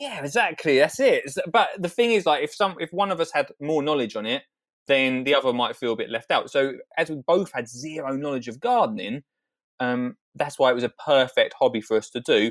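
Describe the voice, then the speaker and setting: A man with an Essex accent speaks at a fairly quick pace in a fairly high pitch. The recording is very clean and dry, with a silent background, close sound and no echo. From Colchester, Essex, England. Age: 30s. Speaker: gardener, TV presenter. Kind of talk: casual interview. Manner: animated.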